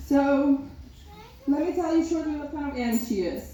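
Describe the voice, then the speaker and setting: Speaking at a moderate pace in a Macedonian accent, a woman has a high pitch and ordinary pitch variation, with noticeable background noise and audible room echo. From North Macedonia. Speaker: maid of honor. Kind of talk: wedding speech. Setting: wedding reception.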